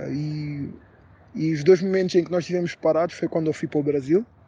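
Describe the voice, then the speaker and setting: A man with a European Portuguese accent talks with fairly even intonation. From Portugal, Lisbon area. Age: 20s. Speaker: interview guest. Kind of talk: interview. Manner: hesitant, many filler sounds.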